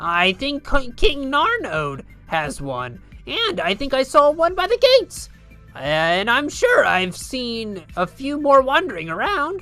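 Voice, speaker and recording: A female-sounding voice performs a put-on character voice. Faint music plays in the background. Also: fairly slow pace. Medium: game stream. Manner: flustered, stammering.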